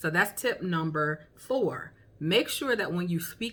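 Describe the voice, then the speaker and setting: Her voice is fairly low in pitch. The woman talks at a fairly slow pace. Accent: strong Southern. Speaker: beginning author and vlogger. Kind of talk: tutorial. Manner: casual, with many fillers.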